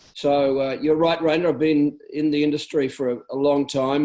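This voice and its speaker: The speaker talks in an Australian accent with monotone, flat intonation. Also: man. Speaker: network marketing business leader. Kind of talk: business training talk on a conference call.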